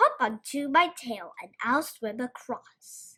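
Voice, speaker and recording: In a put-on character voice, a woman speaks fairly slowly at a high pitch. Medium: read story. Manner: smooth, cunning.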